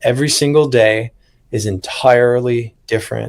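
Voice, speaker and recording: A plain, everyday voice from a man, medium in pitch, with fairly even intonation. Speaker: podcast host and horse racing handicapper. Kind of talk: casual podcast conversation.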